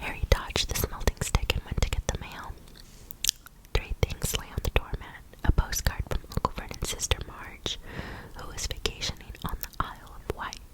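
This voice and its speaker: A woman whispers at a moderate pace. Her loudness swings widely amid noticeable background noise. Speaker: ASMR content creator. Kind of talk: whispered book reading for ASMR. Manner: whispered, up close.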